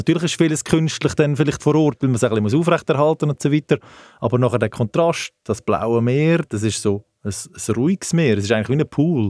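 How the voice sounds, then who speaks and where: An ordinary speaking voice moves at a fairly quick pace with lively intonation. The recording is very clean, with a silent background and a dry, close sound with no echo. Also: man, fairly high pitch for a man. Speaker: sports travel company director, ex-footballer. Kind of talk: casual interview. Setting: studio.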